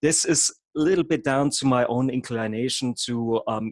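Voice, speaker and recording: A man speaks at a moderate pace in a dry, close sound with no echo. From Germany. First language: German. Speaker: hypnotherapist and havening trainer. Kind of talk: online workshop presentation. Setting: video call. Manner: occasionally halting.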